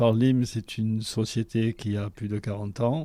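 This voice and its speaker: A man at medium pitch, with a dark, mellow tone and fairly even intonation, on a very clean recording with a silent background. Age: 60s. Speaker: engineering project manager. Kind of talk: interview testimony. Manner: hesitant, with filler sounds.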